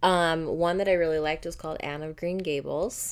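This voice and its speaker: A woman speaks at a moderate pace in a normal speaking voice. Her pitch is fairly low and her intonation fairly even. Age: 30s. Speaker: mother of the host. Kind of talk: casual chat.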